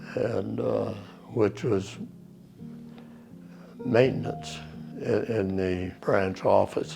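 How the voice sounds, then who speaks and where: Music plays in the background. A man with an American accent speaks at a very slow pace, leaving long, frequent pauses. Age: 80s+. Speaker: war veteran. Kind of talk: interview answer.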